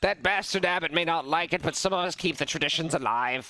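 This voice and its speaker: Guttural and strained, a man's put-on character voice runs very fast at a high pitch with very even loudness. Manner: bitter, grumbling.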